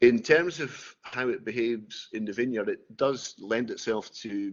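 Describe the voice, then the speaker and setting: This man speaks with a Scottish accent. His intonation is fairly even. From Scotland. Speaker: winemaker. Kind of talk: tutored wine tasting. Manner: hesitant, many fillers.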